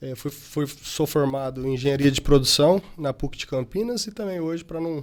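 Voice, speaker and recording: A man's plain, everyday voice, fairly high in pitch, with ordinary pitch variation, a moderate pace and hardly any pauses. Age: 20s. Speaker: company director. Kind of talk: interview.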